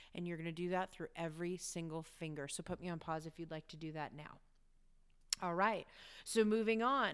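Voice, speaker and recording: In a very clean recording with a silent background, a woman with a plain, everyday voice speaks at a moderate pace, her fairly low pitch carrying lively intonation. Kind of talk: guided meditation. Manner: warm, encouraging, lightly chatty, with occasional laughs.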